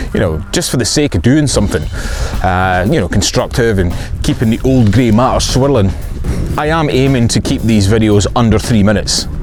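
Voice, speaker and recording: A man with a Scottish accent at a medium pitch, talking at a very fast pace with lively intonation, music in the background and audible room echo. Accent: Scottish (Fife). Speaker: filmmaker and vlogger. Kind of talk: casual vlog monologue. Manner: casual, dry humour, some filler words.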